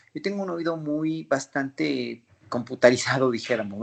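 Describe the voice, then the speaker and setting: Against a quiet background, a man talks at a fairly quick pace with a fairly high pitch and ordinary pitch variation. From Mexico City. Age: 50s. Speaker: flutist and orchestra conductor. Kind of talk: interview.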